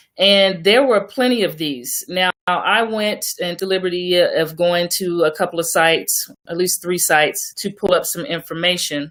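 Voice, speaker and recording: With an American accent and a normal speaking voice, a woman talks at a moderate pace and medium pitch, with ordinary pitch variation and hardly any pauses. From Oklahoma. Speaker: radio co-host. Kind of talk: online radio show discussion.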